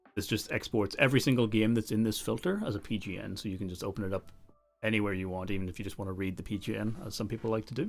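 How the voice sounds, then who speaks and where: Music runs in the background as the speech goes at a very fast pace with ordinary pitch variation. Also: man, fairly low pitch for a man. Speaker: chess software presenter. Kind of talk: livestream product demo. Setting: livestream.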